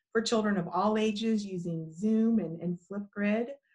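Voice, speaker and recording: A woman speaks in a somewhat breathy voice over a quiet background. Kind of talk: interview answer. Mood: warm, earnest. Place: home room. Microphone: video call.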